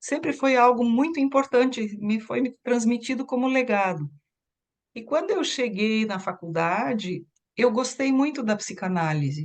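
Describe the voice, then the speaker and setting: A woman speaks at a fairly high pitch and a fairly slow pace. Her pitch swings very widely. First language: German (speaking Portuguese). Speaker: psychoanalyst. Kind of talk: interview.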